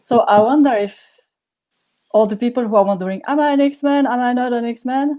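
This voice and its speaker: A woman's high-pitched voice with a French accent and a dark, mellow tone, at a fairly quick pace broken by long, frequent pauses, with ordinary pitch variation. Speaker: workshop participant. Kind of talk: casual chat.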